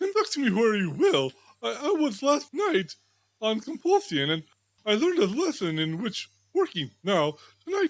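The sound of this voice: Little can be heard in the background. The reading voice is unforced.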